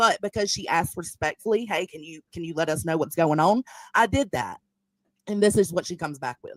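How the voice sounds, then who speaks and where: Recorded dry and close with no echo, a woman with a Southern US accent speaks at a fairly quick pace and a fairly low pitch, her intonation lively and her loudness swinging widely. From US South. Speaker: live streamer. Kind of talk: live stream reaction commentary.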